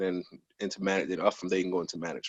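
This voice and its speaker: A man with a New Jersey accent speaks against a quiet background. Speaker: probation officer. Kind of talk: interview. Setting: video call.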